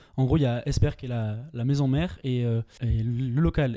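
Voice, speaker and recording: A man speaks at medium pitch with a dark, mellow tone. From French Pyrenees (near Luchon). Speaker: student, grocery co-founder. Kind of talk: casual interview. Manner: halting, many repetitions.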